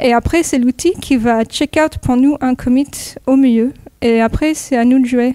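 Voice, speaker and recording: In an American accent, a woman with a high voice and a dark, mellow tone speaks at a fairly slow pace. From California, US (near Los Angeles). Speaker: software developer, conference speaker. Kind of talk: technical talk. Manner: hesitant, many fillers.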